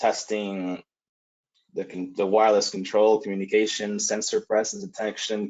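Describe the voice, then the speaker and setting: A man speaks at a moderate pace with a Spanish accent. His fairly low voice stays monotone and flat. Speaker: lighting industry presenter. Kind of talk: webinar presentation. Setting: online webinar. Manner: frequent filler hesitations.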